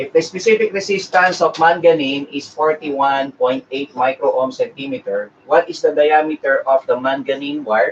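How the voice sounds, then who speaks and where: A man speaks with a Filipino accent at a moderate pace. Noticeable background noise runs underneath. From Philippines. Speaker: engineering review lecturer. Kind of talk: live-streamed lecture. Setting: live stream. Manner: halting, many fillers.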